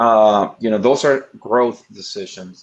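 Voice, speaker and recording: A man talks at a medium pitch. He has a strong non-native accent. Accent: thick foreign. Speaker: investment firm executive. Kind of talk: presentation. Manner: halting, repeats words.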